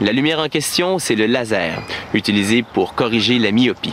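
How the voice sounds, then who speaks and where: Noticeable background noise runs beneath a man's speech. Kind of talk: TV science segment intro.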